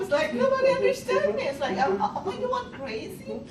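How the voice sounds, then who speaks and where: Her pitch is high and swings very widely as she speaks at a moderate pace in a non-native accent. The woman's recording has audible room echo and noticeable background noise. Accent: foreign. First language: not English. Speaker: college student. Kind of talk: workshop discussion.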